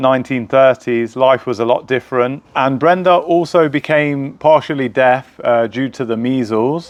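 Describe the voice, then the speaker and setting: A man speaks in a plain, everyday voice at medium pitch. His pace is fairly slow, and his pitch varies in an ordinary way. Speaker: podcast host. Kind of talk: interview host talk.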